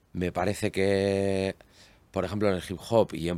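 Over a very clean, silent background, a man with a very deep, low voice speaks fairly slowly in a flat monotone. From Basque Country, Spain (Barakaldo). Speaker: guitarist. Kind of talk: casual chat. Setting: studio.

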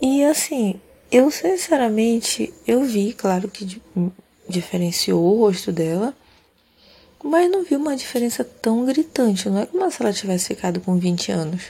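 A woman speaks at a fairly slow pace and a fairly high pitch, her somewhat breathy voice calm, relaxed, dark and mellow, with very wide pitch swings. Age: 30s. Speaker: podcast host. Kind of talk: sleep podcast monologue.

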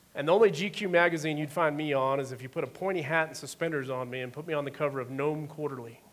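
Speaking at a very fast pace, the man barely pauses at all. His pitch sits fairly high, and there's noticeable background noise. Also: ordinary pitch variation. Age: 40s. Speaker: executive pastor. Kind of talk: sermon.

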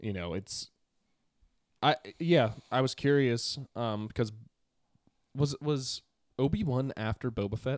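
A man with an American accent, medium pitch and lively intonation, at a very slow pace with long, frequent pauses, on a very clean recording with a silent background. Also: dry, close sound with no echo. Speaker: podcast co-host. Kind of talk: casual chat. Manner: excitable.

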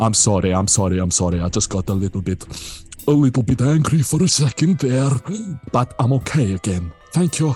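Over music in the background, a man puts on a strained character voice at a medium pitch, keeping a moderate pace broken by long, frequent pauses. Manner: strained, forced calm after anger.

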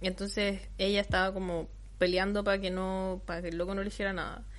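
A woman talks at a very fast pace with a Chilean accent. Her pitch is medium. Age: 20s. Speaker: podcast co-host. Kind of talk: casual chat.

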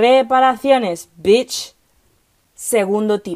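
Animated tone from a woman, with ordinary pitch variation. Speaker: podcast host, political scientist. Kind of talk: casual monologue. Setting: recording in a wardrobe at home.

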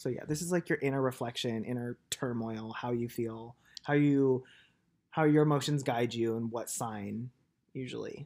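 A man with an ordinary speaking voice talks at a moderate pace in a medium pitch. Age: 20s. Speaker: podcast co-host. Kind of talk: casual chat.

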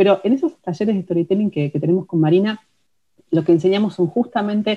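A woman speaks in a Rioplatense accent at medium pitch. Her voice is somewhat breathy and her pace fairly quick. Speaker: writer and podcast co-host. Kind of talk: casual instructional chat.

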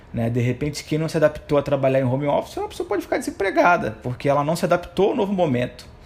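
A man's very fast speech, fairly high in pitch, with lively intonation. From Rio de Janeiro, Brazil. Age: 30s. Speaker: economist. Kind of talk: interview.

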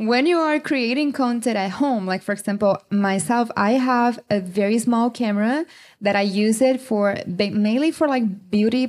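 In a very clean recording with a silent background, a woman speaks at a moderate pace in a fairly high pitch, with ordinary pitch variation. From Brazil. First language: Portuguese. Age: 30s. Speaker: model and content creator. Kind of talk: panel discussion. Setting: stage with audience.

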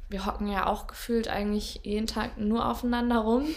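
Her voice sits at a fairly high pitch, with monotone, flat intonation. A woman speaks with audible room echo around her. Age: 20s. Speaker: podcast host, trainee physiotherapist. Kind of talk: casual chat. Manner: halting.

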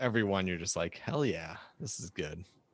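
Against a quiet background, a man with an ordinary speaking voice talks at a moderate pace and fairly low pitch, with ordinary pitch variation. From Michigan. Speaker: podcast host. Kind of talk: casual chat.

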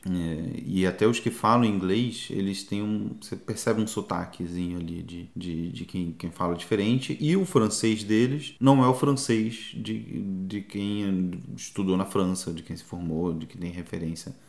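An ordinary speaking voice from a man, fairly low in pitch, at a fairly slow pace with hardly any pauses and big swings in loudness. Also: ordinary pitch variation. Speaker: travel podcaster. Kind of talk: casual chat.

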